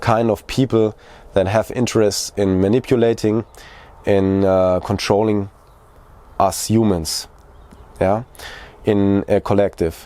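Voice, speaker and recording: Very slow speech from a man with a German accent, fairly low in pitch and dark, mellow in tone. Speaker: video creator. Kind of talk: personal vlog monologue. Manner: halting.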